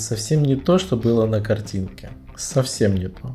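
A normal speaking voice, fairly slow in pace, with ordinary pitch variation. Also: man. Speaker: podcast host. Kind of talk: casual chat. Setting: bedroom at night, lights off. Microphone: laptop mic placed on a bed.

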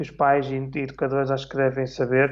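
Speaking at a fairly quick pace, a man has an ordinary speaking voice with a fairly high pitch. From northern Portugal, Minho. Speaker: orchestra conductor and clarinetist. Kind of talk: casual interview on livestream. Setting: online live stream.

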